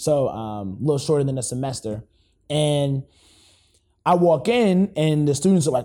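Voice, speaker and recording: A man with an American accent has a dark, mellow tone and a fairly high pitch, and his intonation is lively. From California, Los Angeles. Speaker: educator and author. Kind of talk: casual interview chat. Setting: studio. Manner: animated.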